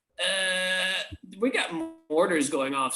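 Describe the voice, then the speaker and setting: This man's voice is high in pitch and makes very wide pitch swings. Music plays in the background. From England. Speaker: puppeteer and creature performer. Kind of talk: interview answer. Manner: casual, conversational.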